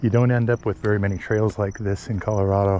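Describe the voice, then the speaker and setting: With noticeable background noise behind him, a man speaks at a moderate pace with a fairly low pitch. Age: 60s. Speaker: ebike vlogger. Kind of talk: casual vlog narration while riding. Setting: outdoors on mountain bike trail.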